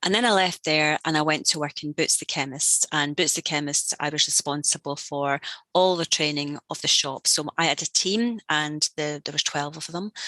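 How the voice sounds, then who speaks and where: A woman speaks at a moderate pace with hardly any pauses. Her very deep, low voice has a bright, sharp tone and ordinary pitch variation. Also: dry, close sound with no echo. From Scotland. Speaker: learning and development executive. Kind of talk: interview.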